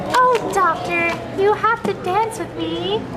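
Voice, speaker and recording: A squeaky, put-on character voice comes through at a fairly slow pace over loud background noise. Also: woman. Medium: stage play. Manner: casual, giggly.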